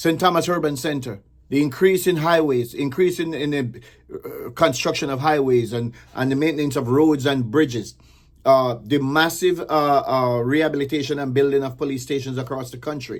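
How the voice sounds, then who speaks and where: In a Jamaican accent, the speaker talks at a moderate pace with an animated tone. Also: man. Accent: Jamaican, with patois. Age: 60s. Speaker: political commentator. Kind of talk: political commentary, partly reading a list. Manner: reading, with hesitations; animated, emphatic.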